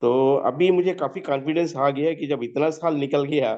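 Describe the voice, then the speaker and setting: Here a man's voice has a dark, mellow tone. His pitch variation is ordinary. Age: 70s. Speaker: retiree asking for health guidance. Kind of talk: testimony. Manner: halting.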